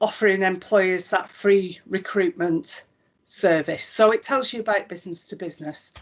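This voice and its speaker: A woman with a Lancashire accent, her loudness swinging widely. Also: medium pitch for a woman, ordinary pitch variation, moderate pace. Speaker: chief executive of an employment support body. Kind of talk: live software demonstration.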